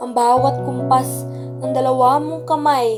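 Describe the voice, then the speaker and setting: Music sits behind the voice. This woman speaks at a fairly slow pace. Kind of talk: spoken word poetry.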